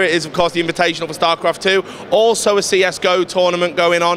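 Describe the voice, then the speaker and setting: Talking very fast in a flat monotone, a man with a high pitch is heard over noticeable background noise. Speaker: esports reporter. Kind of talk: video tour. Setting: indoor event hall. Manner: casual, frequent fillers.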